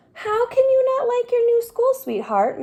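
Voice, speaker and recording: Squeaky and extremely high in pitch, a woman's put-on character voice moves at a moderate pace with monotone, flat intonation. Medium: read story.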